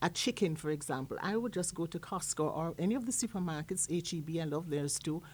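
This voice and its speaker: Speaking with a Jamaican accent, a woman talks at a fairly quick pace in a fairly low pitch with ordinary variation. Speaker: chef and food entrepreneur. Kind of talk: casual interview.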